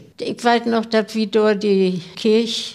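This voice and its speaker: Noticeable background noise accompanies a woman at medium pitch who talks at a very slow pace in monotone, flat intonation. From Rostock area, Mecklenburg. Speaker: club member. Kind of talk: casual chat.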